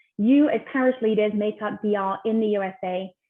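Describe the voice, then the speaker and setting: A woman speaks in a fairly high pitch with a British accent. Her pitch variation is ordinary. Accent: British accent noticeable. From UK. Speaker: ministry team member, webinar host. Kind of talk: online webinar conversation.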